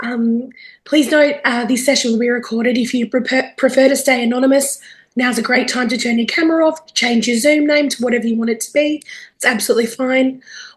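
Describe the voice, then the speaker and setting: A woman's high voice in an Australian accent, at a fairly quick pace with fairly even intonation. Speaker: webinar facilitator. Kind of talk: webinar introduction. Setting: video call.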